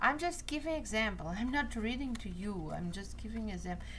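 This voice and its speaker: Room echo is audible as a woman talks with a Portuguese accent. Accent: non-native English, Portuguese. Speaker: card reader. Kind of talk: tutorial. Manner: halting.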